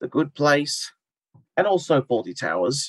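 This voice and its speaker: A man talks at a fairly slow pace with an Australian accent. The sound is dry and close, with no echo. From Australia, Wollongong (New South Wales). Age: 20s. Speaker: reality TV participant. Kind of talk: interview.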